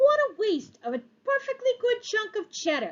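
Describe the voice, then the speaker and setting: An extremely high, squeaky put-on character voice at a moderate pace. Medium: read story. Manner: sly, grumbling.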